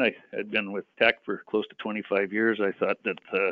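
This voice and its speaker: Speaking at a moderate pace, a man with a Western Canadian accent has a medium pitch. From British Columbia, Canada. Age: 60s. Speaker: mining company executive. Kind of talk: interview.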